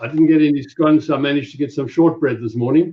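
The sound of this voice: A fast-talking man with a South African accent has a fairly high pitch and ordinary pitch variation.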